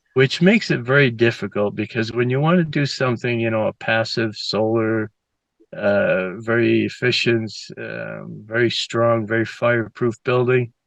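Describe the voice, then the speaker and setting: With an American accent, a man speaks at a moderate pace, his medium pitch showing ordinary variation. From Boston area, Massachusetts (Waltham). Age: 60s. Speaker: interviewee sharing abduction experience. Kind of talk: interview. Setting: outdoors on his property. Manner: halting, many fillers.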